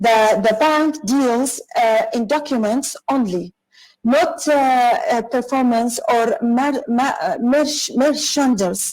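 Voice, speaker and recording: Speaking at a very slow pace in an Arabic accent, a woman keeps a very even loudness, her high pitch showing ordinary variation. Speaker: corporate lawyer and speaker. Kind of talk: online conference talk. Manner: halting, many fillers and restarts; apologetic.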